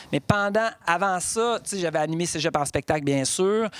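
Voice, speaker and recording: A man with a high pitch and ordinary pitch variation speaks at a moderate pace, with a dry, close sound and no echo. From Quebec, Bas-Saint-Laurent (Rimouski). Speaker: storyteller and monologuist. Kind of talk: casual interview. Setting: cultural centre recording.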